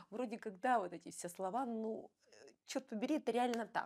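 A woman's voice over a quiet background. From Russia, Bryansk; Russia. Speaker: ballroom dancer and coach; interview guest. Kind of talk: interview. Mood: relaxed, animated at times. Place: studio. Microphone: lapel.

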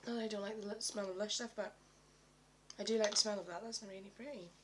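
There's light background noise as a woman speaks in a British accent. Her pitch sits fairly high. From UK. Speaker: beauty vlogger. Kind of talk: product review. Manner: halting. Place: home room. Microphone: webcam.

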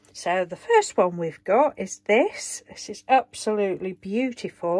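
With big pitch swings, a woman speaks in a slightly mellow tone.

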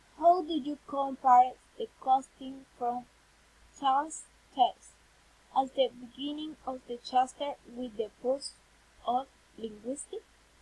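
With a Spanish accent, a woman speaks very slowly in a high pitch and a dark, mellow tone, with long, frequent pauses and big swings in loudness, the sound dry with no echo. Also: ordinary pitch variation. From Colombia. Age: 20s. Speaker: university student. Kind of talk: reading aloud. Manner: halting. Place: home room. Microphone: webcam.

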